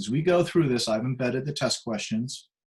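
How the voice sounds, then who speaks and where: A man's voice comes through somewhat breathy. His intonation is lively. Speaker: psychiatric prescriber teaching a course. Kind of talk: lecture. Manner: hesitant, many fillers.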